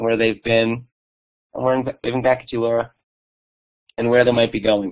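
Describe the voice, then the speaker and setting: A man's medium-pitched voice in a monotone, flat intonation. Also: fairly quick pace. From New York. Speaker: museum digital learning director. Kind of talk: conference presentation. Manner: fast.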